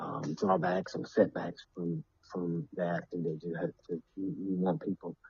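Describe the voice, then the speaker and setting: A man's very deep, low voice in a Southern US accent. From US South, Alabama. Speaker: filmmaker and former football player. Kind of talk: casual interview chat. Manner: halting.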